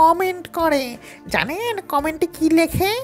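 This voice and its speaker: Over clear music in the background, a woman performs in a put-on character voice. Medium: audio drama. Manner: eager, fast.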